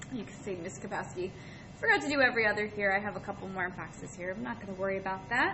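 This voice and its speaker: Over noticeable background noise and audible room echo, a woman talks at a very fast pace with a medium pitch, ordinary pitch variation and big swings in loudness. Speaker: art teacher. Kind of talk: tutorial. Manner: friendly, addresses children.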